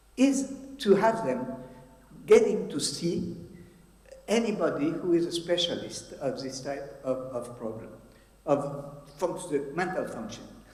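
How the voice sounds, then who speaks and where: A man with a strong French accent, fairly slow, with very wide pitch swings and audible room echo. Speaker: psychiatrist. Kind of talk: conference talk. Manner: halting.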